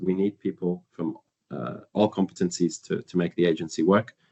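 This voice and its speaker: A man speaks with a northern English accent. His pitch is fairly low and his intonation fairly even. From northern England. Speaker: internship program coordinator. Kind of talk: webinar presentation. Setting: live webinar. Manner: hesitant with fillers and repetitions.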